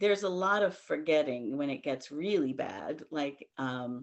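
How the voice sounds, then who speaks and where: A woman keeps a moderate pace as she talks with lively intonation. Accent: American. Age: 60s. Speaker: meeting participant. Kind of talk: casual chat. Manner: halting.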